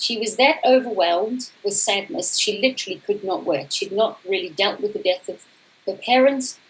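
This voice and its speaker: With lively intonation, a woman speaks while noticeable background noise fills the clip. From South Africa. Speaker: coach. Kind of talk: conference talk.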